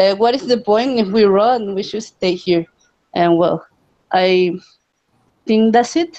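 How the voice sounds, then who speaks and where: A woman with a Spanish accent talks at a fairly slow pace, leaving long and frequent pauses. Her fairly high voice has a dark, mellow tone and lively intonation. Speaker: language exchange participant. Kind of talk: casual chat.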